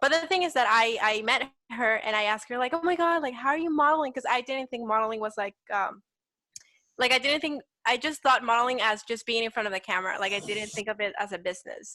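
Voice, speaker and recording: In a Salvadoran accent, a woman talks at a very fast pace with a high pitch, a bright, sharp tone and lively intonation. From El Salvador. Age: 20s. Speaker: petite model. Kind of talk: casual interview.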